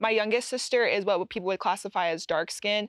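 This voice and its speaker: A woman with an American accent talks at a moderate pace in an ordinary speaking voice, her pitch medium and her intonation fairly even. The sound is dry and close with no echo, over a quiet background. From Utah. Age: 20s. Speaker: university student. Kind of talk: casual chat.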